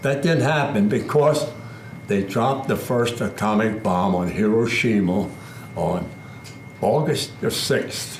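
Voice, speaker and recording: Lively intonation from a man at a medium pitch, very even loudness, long, frequent pauses, audible room echo and noticeable background noise. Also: fairly slow pace. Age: 90s. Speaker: war veteran. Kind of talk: testimony.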